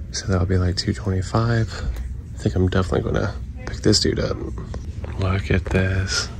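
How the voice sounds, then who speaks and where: The sound is dry with no echo, and noticeable background noise is present. A man with a very deep, low pitch speaks at a moderate pace. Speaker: toy collector vlogger. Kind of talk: casual vlog chat. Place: shop.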